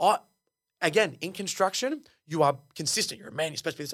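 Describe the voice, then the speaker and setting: A man with an Australian accent, animated and bright, sharp in tone, with lively intonation at a very fast pace, in a very clean recording with a silent background. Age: 20s. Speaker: engineer and reality TV contestant. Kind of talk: casual interview.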